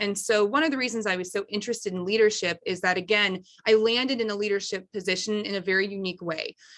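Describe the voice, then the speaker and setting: A woman talks at a very fast pace in a bright, sharp tone, with a medium pitch and ordinary pitch variation. The background is quiet. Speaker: school principal. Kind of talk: conference presentation.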